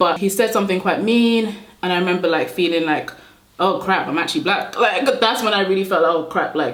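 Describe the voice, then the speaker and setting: Delivered at a very fast pace with ordinary pitch variation, the speech carries noticeable background noise and audible room echo. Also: woman. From Nigeria, moved to the UK aged about 8. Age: 20s. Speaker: beauty YouTuber. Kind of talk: casual chat while doing makeup. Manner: chatty, animated.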